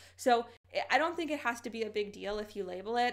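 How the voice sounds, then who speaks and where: A fairly high-pitched female voice, its pitch varying in an ordinary way. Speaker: lifestyle vlogger. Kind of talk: casual advice vlog. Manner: fast.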